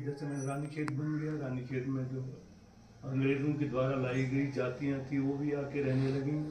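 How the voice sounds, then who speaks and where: A man at a fairly high pitch with monotone, flat intonation, amid noticeable background noise and audible room echo. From Uttarakhand, Kumaon (Ranikhet area). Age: 70s. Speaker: temple committee head. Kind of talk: storytelling on temple history.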